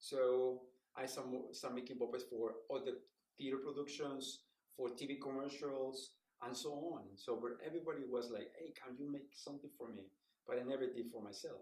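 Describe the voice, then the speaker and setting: The voice has a Spanish accent. Its pace is moderate. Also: man, medium pitch for a man, fairly even intonation. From Mexico City. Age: 60s. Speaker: puppeteer and professor. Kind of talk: interview.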